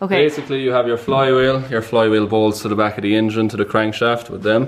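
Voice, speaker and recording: Someone with an Irish accent speaks with fairly even intonation over noticeable background noise. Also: man, medium pitch for a man, fairly quick pace. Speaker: mechanic explaining how a clutch works. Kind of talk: casual, conversational.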